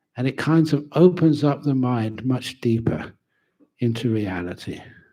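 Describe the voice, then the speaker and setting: A man's medium-pitched voice carries lively intonation and a dark, mellow tone. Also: fairly slow pace. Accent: London. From England, London. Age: 70s. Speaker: Buddhist monk and teacher. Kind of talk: dharma talk. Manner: casual, humorous.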